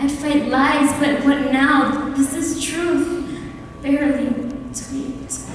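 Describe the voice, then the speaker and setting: A woman speaks very slowly in a high, flat, monotone voice. Noticeable background noise runs underneath. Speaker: spoken word poet. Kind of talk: spoken word poetry performance. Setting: live event in a church.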